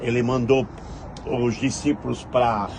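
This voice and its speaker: There's audible room echo and noticeable background noise. A man talks at a fairly slow pace. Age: 70s. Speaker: pastor. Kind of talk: sermon.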